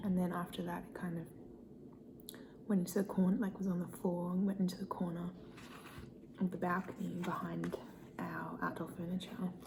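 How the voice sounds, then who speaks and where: Soft-spoken, the speaker moves at a fairly quick pace yet leaves long, frequent pauses. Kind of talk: ASMR soft spoken eating video, casual talk to camera.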